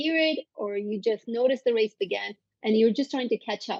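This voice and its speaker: A woman speaks with a Turkish accent. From Turkey (Istanbul). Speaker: psychologist. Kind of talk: interview conversation.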